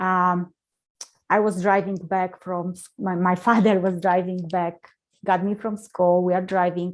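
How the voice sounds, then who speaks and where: Fairly slow and monotone, with flat intonation, a woman with a Polish accent speaks at a medium pitch. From Poland. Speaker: motivational speaker. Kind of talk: interview.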